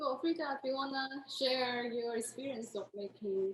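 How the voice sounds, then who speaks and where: At a fairly slow pace, a high-pitched woman talks while noticeable background noise fills the recording. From Taiwan. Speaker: artist. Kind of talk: casual chat.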